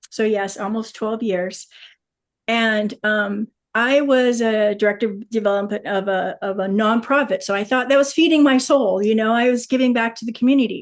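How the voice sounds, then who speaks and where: Over a quiet background, a woman with a fairly high pitch speaks at a moderate pace with ordinary pitch variation. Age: 60s. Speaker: wellness company distributor. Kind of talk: testimony. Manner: halting.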